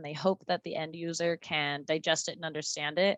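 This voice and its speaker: A woman talks at a fairly quick pace. Her pitch is fairly low. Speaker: GIS product engineer, presenter. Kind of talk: webinar Q&A. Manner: fast.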